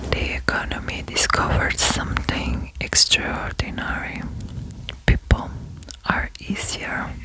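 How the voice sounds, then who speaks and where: A woman whispers in a calm tone. Background noise is noticeable. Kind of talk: ASMR whispered reflection. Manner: whispered, soft, sweet; calm, slow, relaxing.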